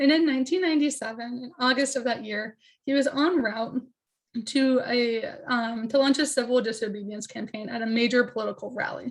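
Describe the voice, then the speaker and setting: A woman's voice, high in pitch and fairly quick, its pitch varying in an ordinary way. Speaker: PhD candidate presenting research. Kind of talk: academic presentation.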